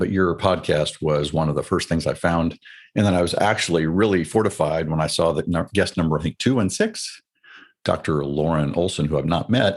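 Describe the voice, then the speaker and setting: A man with an American accent speaks fairly quickly in a very deep, low pitch, with very even loudness and ordinary pitch variation. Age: 60s. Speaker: retired military officer. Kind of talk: interview. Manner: reflective.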